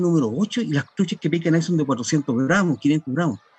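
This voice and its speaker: A man speaks in a dry, close sound with no echo. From Chile, Los Ángeles (Biobío). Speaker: fishing guide and author. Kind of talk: interview. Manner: halting.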